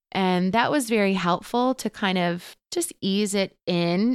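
A woman's medium-pitched voice, a plain, everyday voice with ordinary pitch variation, on a very clean recording with a silent background and a dry, close sound with no echo. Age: 30s. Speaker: Akashic records teacher and practitioner. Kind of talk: casual interview chat. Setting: guest's home.

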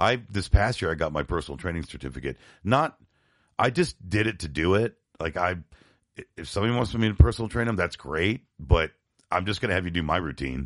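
A man with an American accent and a very deep, low pitch talks at a fairly quick pace with lively intonation and vocal fry over a quiet background. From US, New York and Florida. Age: 50s. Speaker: podcast co-host, punk musician. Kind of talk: casual chat.

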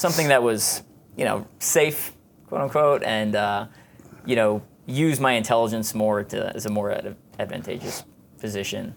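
With an American accent, a man talks at medium pitch with ordinary pitch variation in a normal speaking voice. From Long Island, New York. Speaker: army special forces officer. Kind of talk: interview.

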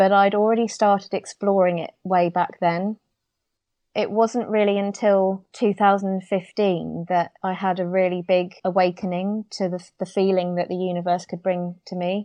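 The speaker has a British accent and moves at a moderate pace. Intonation stays monotone and flat. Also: woman. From UK. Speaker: interior designer. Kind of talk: interview conversation.

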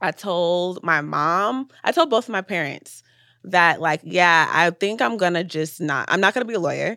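A woman speaks at a moderate pace, her fairly low pitch paired with a bright, sharp tone and ordinary pitch variation. The recording is very clean, with a silent background and a dry, close sound free of echo. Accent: American. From Atlanta, US. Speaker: filmmaker and director. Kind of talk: casual chat interview.

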